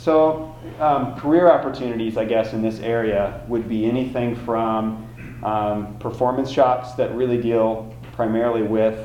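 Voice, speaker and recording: Audible room echo and noticeable background noise surround a man whose medium-pitched voice holds fairly even intonation. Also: fairly slow pace. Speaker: college automotive instructor. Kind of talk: presentation. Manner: many filler words.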